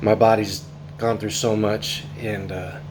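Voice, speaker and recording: Noticeable background noise and audible room echo surround a man with an American accent and a fairly low pitch. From northern California. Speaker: covid survivor vlogger. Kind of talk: personal testimony. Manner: casual, with many fillers.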